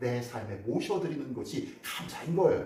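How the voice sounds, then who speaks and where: With audible room echo and noticeable background noise, a man speaks at a moderate pace using very wide pitch swings. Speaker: pastor. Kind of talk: sermon. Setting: church. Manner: conversational, asks congregation questions.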